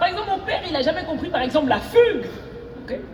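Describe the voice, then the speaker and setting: The speaker sounds animated, with very wide pitch swings at a very fast pace. Noticeable background noise and audible room echo fill the recording. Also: woman. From Cameroonian diaspora, raised partly in Cameroon. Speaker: stand-up comedian. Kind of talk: stand-up. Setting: stage with audience.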